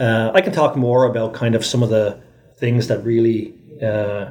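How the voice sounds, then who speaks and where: Over noticeable background noise, a man speaks at a medium pitch and a moderate pace with fairly even intonation. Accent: Irish. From Ireland. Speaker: tech executive. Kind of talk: interview.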